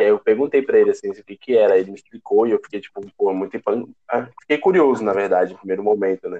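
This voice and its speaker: The voice races at a very fast pace, with big swings in loudness. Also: man. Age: 20s. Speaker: student council president. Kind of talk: casual chat.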